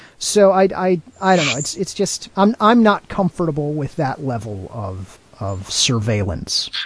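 A man's somewhat breathy, fairly high voice at a fairly slow pace, with very wide pitch swings. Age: 40s. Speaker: podcast host. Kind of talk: casual chat.

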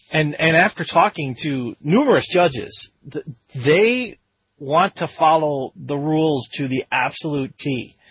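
An unremarkable speaking voice from a man, fairly high in pitch, fairly slow, with lively intonation. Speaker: interview podcast host. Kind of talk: casual interview chat.

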